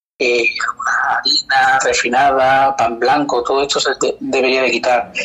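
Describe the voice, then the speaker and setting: Music plays behind the speaker. He is a man talking fairly slowly. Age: 40s. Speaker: osteopath and kinesiologist. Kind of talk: interview podcast.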